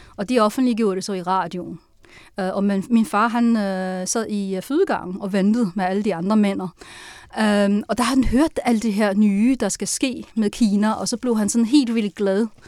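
A woman with a Chinese accent speaks at a fairly slow pace with ordinary pitch variation, on a very clean recording with a silent background. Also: medium pitch for a woman. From China (Sichuan and Tianjin). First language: Chinese (speaking Danish). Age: 40s. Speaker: novelist. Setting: studio.

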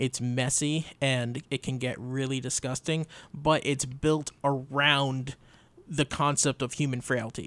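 In a very clean recording with a silent background and a dry, close sound with no echo, a man speaks in a flat monotone at a fairly slow pace. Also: medium pitch for a man. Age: young. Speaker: radio producer and co-host. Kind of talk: casual chat. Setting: studio.

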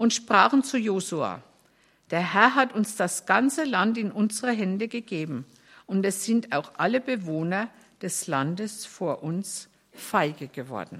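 This woman has a plain, everyday voice at medium pitch. She talks fairly slowly with lively intonation. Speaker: scripture reader. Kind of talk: reading aloud from the Bible.

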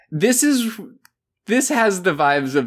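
A plain, everyday voice from a man, fairly slow with lively intonation, on a very clean recording with a silent background. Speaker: K-pop fan guest. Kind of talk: casual chat.

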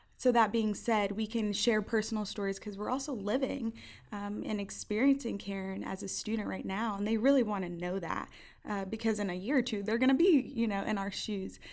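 Speaking in a plain, everyday voice, a woman with an American accent moves at a fairly quick pace. Her pitch sits fairly high and varies in an ordinary way. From northern New Jersey. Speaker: university student. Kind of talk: interview.

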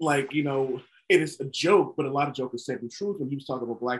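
Speaking at a very fast pace with an American accent, a man sounds somewhat breathy and uses ordinary pitch variation. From northern US. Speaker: podcast host. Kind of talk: casual chat.

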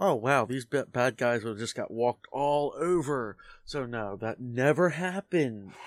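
A man talks in a normal speaking voice at medium pitch and a fairly slow pace, with ordinary pitch variation and a dry, close sound with no echo. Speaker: dungeon master. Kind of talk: casual chat.

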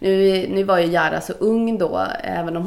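A woman speaks with audible room echo. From Gothenburg, Sweden (Majorna). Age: 40s. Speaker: casting director. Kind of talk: casual interview. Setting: office.

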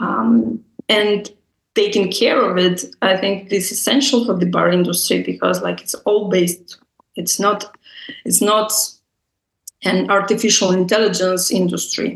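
A woman with a Russian accent speaks at a fairly slow pace, her pitch medium with ordinary variation. Long pauses come often. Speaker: bar entrepreneur and public speaker. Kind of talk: interview.

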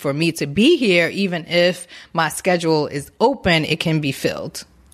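A woman speaks in an ordinary speaking voice with an American accent, her pitch fairly low and her pitch variation ordinary. She keeps a moderate pace on a very clean recording with a silent background. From Newark, New Jersey. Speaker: massage therapist. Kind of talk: interview. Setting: her massage shop.

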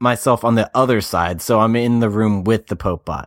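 The recording is very clean with a silent background and a dry, close sound with no echo, as a man with an ordinary speaking voice talks at a medium pitch and moderate pace. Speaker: player, podcast co-host. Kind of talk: casual tabletop game chat.

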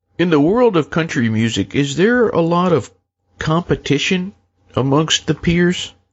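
A man with a high voice and lively intonation, speaking at a fairly slow pace with very even loudness. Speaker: talk show host. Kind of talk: interview.

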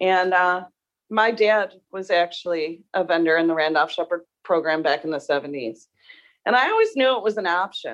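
A woman with an American accent. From western New York. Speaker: vending business owner and board member. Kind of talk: casual chat. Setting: video call.

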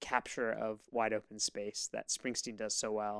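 Heard dry and close with no echo, a man speaks at a moderate pace and fairly low pitch with a monotone, flat intonation. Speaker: podcast host. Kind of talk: casual chat.

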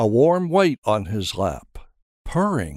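A man speaks at a fairly slow pace with very wide pitch swings. The recording is very clean, with a silent background. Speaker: narrator. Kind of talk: fairy-tale narration, scripted audio drama storytelling. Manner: wry, gently humorous, storybook storyteller.

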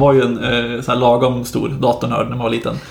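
A man of medium pitch talks at a fairly quick pace in a flat monotone. Noticeable background noise is present. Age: 20s. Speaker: podcast co-host, junior software developer. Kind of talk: casual chat.

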